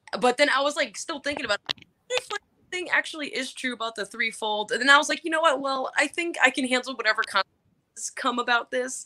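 A woman's high, bright, sharp voice, raised and projected, at a very fast pace with lively intonation. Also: dry, close sound with no echo. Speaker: club co-host.

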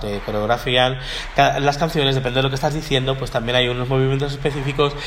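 Over noticeable background noise, a man talks very fast at medium pitch with fairly even intonation. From Miami, Florida, US. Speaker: gospel choir director and singing teacher. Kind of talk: interview.

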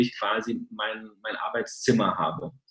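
A man's medium-pitched voice at a very slow pace. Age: 30s. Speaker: sales engineer. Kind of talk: interview. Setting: video call. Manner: hesitant, many filler sounds.

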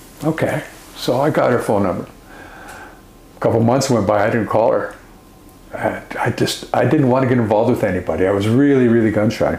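A man with a medium pitch talks at a fairly quick pace, with long, frequent pauses, ordinary pitch variation, and very even loudness. The recording has audible room echo and noticeable background noise. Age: 60s. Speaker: author and speaker, former addict. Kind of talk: interview.

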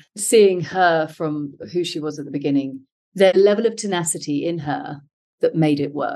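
A woman with a British accent talks at a moderate pace, with ordinary pitch variation. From UK. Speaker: functional medicine health coach. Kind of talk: interview.

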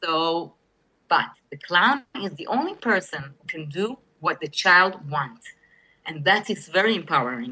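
A woman with a non-native accent speaks at a medium pitch in a bright, sharp tone, her pitch swinging very widely. Her loudness shifts sharply, and she takes long, frequent pauses. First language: not English. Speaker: hospital clown. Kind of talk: interview storytelling. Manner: halting.

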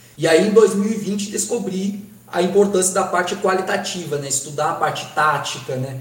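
A man speaks at a moderate pace with ordinary pitch variation. Noticeable background noise and audible room echo surround him. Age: 20s. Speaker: football performance analyst and student. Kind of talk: interview.

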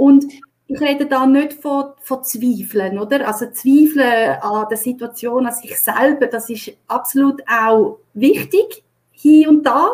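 A woman speaks in a Swiss accent at a very slow pace and a high pitch, with lively intonation and big swings in loudness. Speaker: HR consultant and leadership coach. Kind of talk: live-stream interview.

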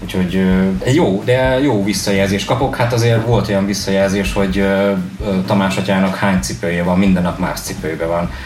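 There is noticeable background noise and audible room echo as a man with a fairly low pitch talks at very even loudness with ordinary pitch variation. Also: moderate pace. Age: 30s. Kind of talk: radio interview.

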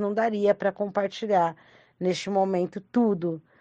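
A woman with a dark, mellow, medium-pitched tone speaks fairly slowly with fairly even intonation. The sound is dry and close, with no echo and a quiet background. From Brazil, Franco da Rocha (São Paulo metro). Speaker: rapper and arts educator. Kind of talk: recorded testimony.

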